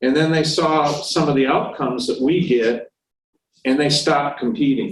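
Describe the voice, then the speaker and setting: A man speaks at a moderate pace in a fairly high, somewhat breathy voice. His pitch variation is ordinary. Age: 60s. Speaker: VA blind rehabilitation staff presenter. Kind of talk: presentation to a veterans club meeting. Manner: conversational, halting with fillers.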